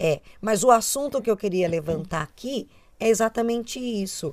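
With lively intonation and a fairly high pitch, this woman uses a normal speaking voice at a fairly slow pace. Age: 30s. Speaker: podcast co-host. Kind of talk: casual chat.

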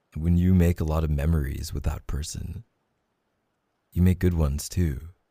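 Very deep and low, this man's voice has a dark, mellow tone, a playful, warm tone and a somewhat breathy quality. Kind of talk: romantic roleplay monologue, tender reassurance. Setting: ASMR roleplay audio, intimate close-mic. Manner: soft, warm, tender and reassuring, intimate, slow and sincere; playful and teasing, with laughs and sighs.

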